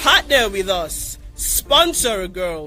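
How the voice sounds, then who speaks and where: Music plays in the background. A man speaks in a raised, projected voice. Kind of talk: foundation showcase narration about programs. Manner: promotional, inspirational.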